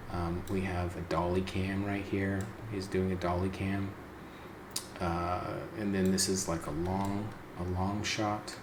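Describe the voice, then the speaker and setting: A man whispers against noticeable background noise and audible room echo. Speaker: indie game developer. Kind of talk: tutorial. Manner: whispering.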